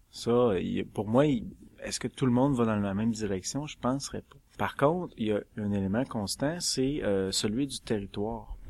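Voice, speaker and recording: In a normal speaking voice, a man with a fairly low pitch talks at a moderate pace with ordinary pitch variation on a very clean recording with a silent background. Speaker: publishing director. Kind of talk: panel discussion.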